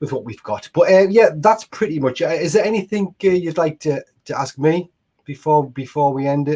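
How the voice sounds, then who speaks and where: Speaking with a northeast English accent, a man uses a fairly high pitch and lively intonation at a moderate pace. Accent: northeast English (Mackem), kept. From northeast England, Washington near Sunderland. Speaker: fan channel host. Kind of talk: casual chat. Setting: live stream.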